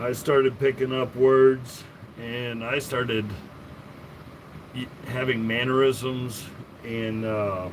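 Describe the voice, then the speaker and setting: Over noticeable background noise, a man with a medium pitch speaks at a very slow pace in a monotone, flat intonation, with long, frequent pauses. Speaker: tool collector livestreamer. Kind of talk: casual livestream chat. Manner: casual, halting with fillers.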